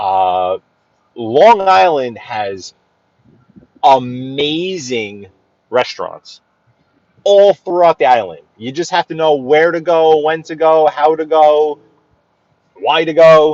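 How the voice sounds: The voice is slightly mellow and slow, with lively intonation and long, frequent pauses. The sound is dry and close, with no echo. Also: man, fairly high pitch for a man.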